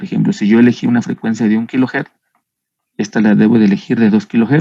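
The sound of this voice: A man's dark, mellow tone at medium pitch, with fairly even intonation.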